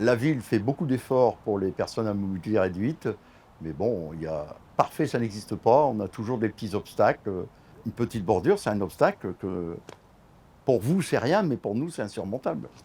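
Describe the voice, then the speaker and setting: A man speaks at a fairly low pitch with lively intonation. His tone is dark and mellow. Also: moderate pace. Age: 60s. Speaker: wheelchair user, resident. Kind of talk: interview.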